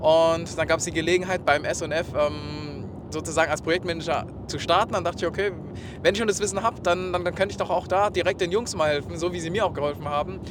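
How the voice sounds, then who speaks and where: Noticeable background noise is present. A man speaks very fast at a high pitch. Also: fairly even intonation. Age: 20s. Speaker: e-commerce project manager. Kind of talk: interview. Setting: in a car.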